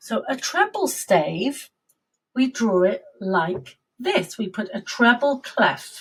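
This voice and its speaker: In a British accent, the speaker goes at a very slow pace with very wide pitch swings. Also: woman. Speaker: music teacher. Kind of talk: lesson for young children.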